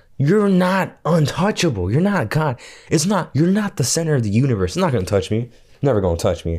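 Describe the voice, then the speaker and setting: In a very clean recording with a silent background, a man talks at a fairly quick pace in an animated tone, his somewhat breathy voice swinging very widely in pitch. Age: 20s. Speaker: podcast co-host. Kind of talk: casual chat.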